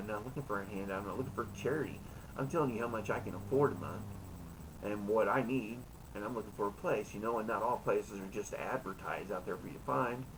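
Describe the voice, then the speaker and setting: With lively intonation, a man talks very fast in a fairly low pitch, and the room echo is audible. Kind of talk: casual monologue in a live chat room. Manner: halting, with many fillers.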